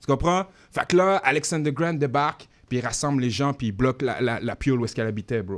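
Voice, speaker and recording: A man at a medium pitch speaks at a fairly quick pace in an animated tone. His intonation is lively, with big swings in loudness. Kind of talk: radio interview.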